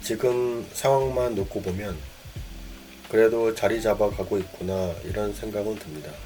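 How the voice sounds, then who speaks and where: Over music in the background, a man talks in a calm tone at a fairly slow pace, his fairly low pitch showing ordinary variation. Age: 50s. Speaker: cleaning business owner. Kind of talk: reflective personal monologue. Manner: calm, reflective.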